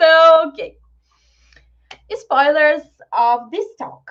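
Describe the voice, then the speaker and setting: A woman with a Brazilian Portuguese accent speaks fairly slowly at a high pitch. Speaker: software developer and tech meetup speaker. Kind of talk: online tech talk presentation. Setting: live video call meetup.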